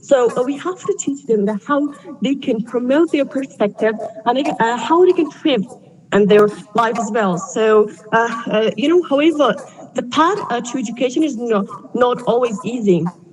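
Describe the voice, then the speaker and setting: A woman's high-pitched, lively speech at a moderate pace amid noticeable background noise. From Afghanistan. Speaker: student speaker. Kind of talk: prepared speech. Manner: halting, many fillers.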